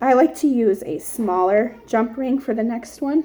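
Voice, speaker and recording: A somewhat breathy woman's voice, fairly high in pitch, dark and mellow in tone, at a fairly slow pace with ordinary pitch variation. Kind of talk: tutorial.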